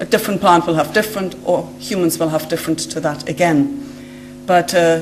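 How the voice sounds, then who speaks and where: A woman with a German accent speaks amid audible room echo, with music in the background. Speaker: genetic scientist. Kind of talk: lecture. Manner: halting, with many fillers.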